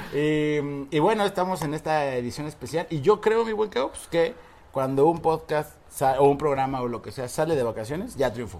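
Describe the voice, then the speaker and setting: An unremarkable speaking voice moves at a moderate pace with lively intonation. Its loudness swings widely. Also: man, fairly high pitch for a man. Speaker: podcast host. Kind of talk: casual chat. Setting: on vacation at the beach.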